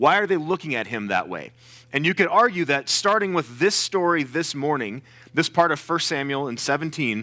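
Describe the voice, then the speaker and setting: In a very clean recording with a silent background, a man speaks loudly at a fairly high pitch with a bright, sharp tone and lively intonation. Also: moderate pace. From US South. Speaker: guest preacher. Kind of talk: sermon. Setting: church with congregation. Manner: animated.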